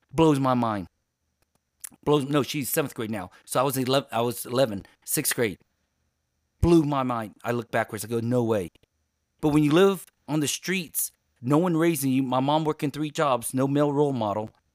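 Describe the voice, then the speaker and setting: A man's animated, medium-pitched voice at a moderate pace, with ordinary pitch movement and long, frequent pauses. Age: 50s. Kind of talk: interview. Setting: video call. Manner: loud.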